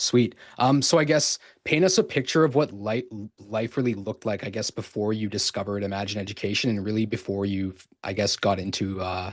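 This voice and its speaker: A man's normal speaking voice with a Canadian accent, fairly low in pitch with ordinary pitch variation, against a quiet background. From Canada. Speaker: podcast host. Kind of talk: interview. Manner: casual, filler-heavy.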